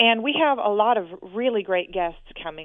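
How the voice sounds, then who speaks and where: A woman with an American accent speaks at a moderate pace with lively intonation. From US Northwest, Portland, Oregon. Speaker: author and researcher. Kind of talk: interview.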